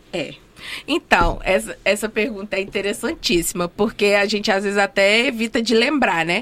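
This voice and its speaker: A woman at a moderate pace and medium pitch, with noticeable background noise. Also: ordinary pitch variation. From Minas Gerais, Brazil. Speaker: dentist and housing rights activist. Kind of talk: interview. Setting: studio.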